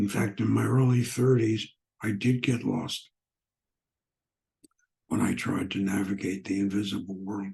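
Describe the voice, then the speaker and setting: Speaking with long, frequent pauses, a man uses a fairly low pitch, ordinary pitch variation and a somewhat breathy, dark, mellow tone. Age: old. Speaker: spiritual teacher and author. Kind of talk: spiritual teaching talk.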